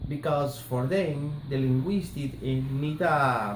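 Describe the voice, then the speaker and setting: A man with a Colombian accent at a very slow pace, with audible room echo and light background noise. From Colombia, Barranquilla. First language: Spanish. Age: 30s. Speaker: language student. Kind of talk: class assignment presentation. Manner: halting, hesitant. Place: home room. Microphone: phone near.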